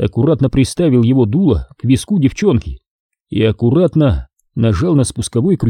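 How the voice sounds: Lively intonation runs through a natural reading voice, set against a quiet background.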